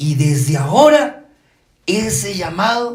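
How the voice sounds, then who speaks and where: At a very slow pace, a man with high pitch lets his pitch swing very widely, with audible room echo around him. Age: 60s. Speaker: pastor. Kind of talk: sermon.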